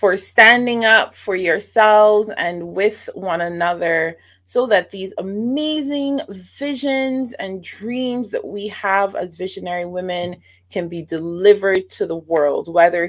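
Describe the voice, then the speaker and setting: Against a very clean recording with a silent background, a woman with a Bajan accent speaks at a fairly slow pace, her medium pitch carrying lively intonation and big swings in loudness. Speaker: online show host. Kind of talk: interview; show introduction.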